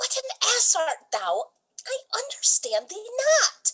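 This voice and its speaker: Putting on a squeaky character voice, a woman speaks at an extremely high pitch. Her pace is fairly slow and her intonation lively. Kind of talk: Shakespearean stage comedy. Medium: stage play. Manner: bantering, sarcastic.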